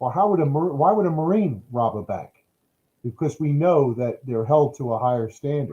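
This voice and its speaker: At a moderate pace, a man speaks in a fairly high, dark and mellow voice with lively intonation. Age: 50s. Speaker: retired marine officer and veteran. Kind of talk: interview conversation. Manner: halting with fillers and repetitions.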